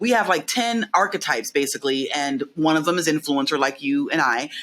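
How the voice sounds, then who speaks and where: A loud woman at a moderate pace, her pitch swinging very widely. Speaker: behavioural science consultant. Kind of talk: casual interview chat. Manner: loud, outgoing.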